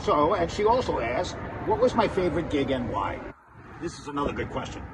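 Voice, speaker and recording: A man with a high pitch and very wide pitch swings speaks at a fairly quick pace, with noticeable background noise and audible room echo. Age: 60s. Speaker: musician. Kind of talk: casual vlog talk. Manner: halting, relaxed.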